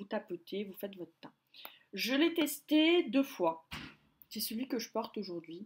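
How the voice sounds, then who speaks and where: A woman's fairly high, somewhat breathy voice shows very wide pitch swings and big swings in loudness. Long, frequent pauses break up her speech. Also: fairly slow pace. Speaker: beauty vlogger. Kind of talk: casual product review vlog. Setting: filming at home by a window. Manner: hesitant, many fillers.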